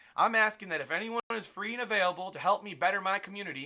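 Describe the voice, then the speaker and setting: Someone talks at a very fast pace with an American accent. The voice is raised and projected. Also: man. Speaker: small media business owner and amateur filmmaker. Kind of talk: casual vlog monologue.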